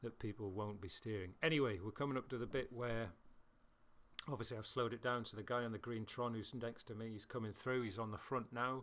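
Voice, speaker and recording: With a British accent, a man speaks at a medium pitch with fairly even intonation. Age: middle-aged. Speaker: video game racing commentator. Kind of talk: casual gameplay commentary. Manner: halting, stuttering at times.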